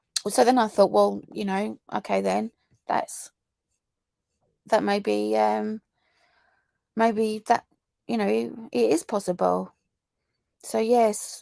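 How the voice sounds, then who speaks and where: A woman speaks with a southern English accent at a fairly slow pace. The recording is very clean, with a silent background. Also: dry, close sound with no echo. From southern England. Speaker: true crime YouTuber. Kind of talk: live stream chat reading viewer comments. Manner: casual, halting with many fillers.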